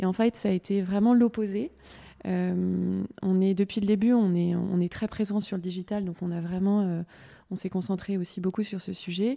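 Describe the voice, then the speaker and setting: A woman's dark, mellow voice at medium pitch, with fairly even intonation and a fairly slow pace. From Paris. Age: 30s. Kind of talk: round-table discussion.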